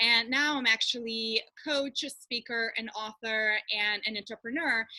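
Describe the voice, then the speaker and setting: With a Russian accent, the speaker uses fairly even intonation and a bright, sharp tone. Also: woman, fairly high pitch for a woman, moderate pace, dry, close sound with no echo. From far east of Russia. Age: young. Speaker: coach and speaker. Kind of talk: webinar presentation. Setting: video call.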